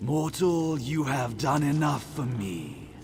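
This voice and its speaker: A man's put-on character voice against clear background noise. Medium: video game. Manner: aloof, commanding.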